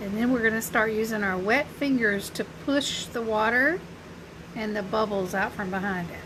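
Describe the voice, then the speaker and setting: A woman with a Southern US accent talks at a moderate pace and fairly high pitch, using ordinary pitch variation in a room with audible echo. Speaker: crafter and small business owner. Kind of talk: live craft tutorial. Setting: Facebook live stream. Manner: casual, chatty.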